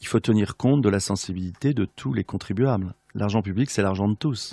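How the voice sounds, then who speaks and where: A man with a fairly low pitch talks at a moderate pace with ordinary pitch variation. The sound is dry and close with no echo, over a quiet background. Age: 60s. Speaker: regional politician. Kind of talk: radio interview. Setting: radio studio. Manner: hesitant, many filler sounds.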